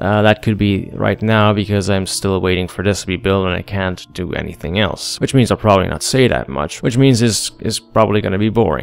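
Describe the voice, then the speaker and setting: Music plays behind a man with a non-native accent and a fairly low pitch. He speaks at a fairly quick pace with ordinary pitch variation. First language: not English. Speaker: gaming commentator. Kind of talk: gameplay commentary.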